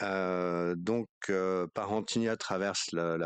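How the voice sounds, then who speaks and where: This man's very deep, low voice has ordinary pitch variation, recorded with a dry, close sound with no echo against a quiet background. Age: 60s. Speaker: château owner. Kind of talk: interview. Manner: hesitant, many fillers.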